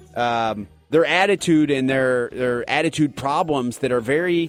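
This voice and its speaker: Against music in the background, a man speaks in a fairly high pitch with ordinary pitch variation. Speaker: sports radio host. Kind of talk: sports radio talk show.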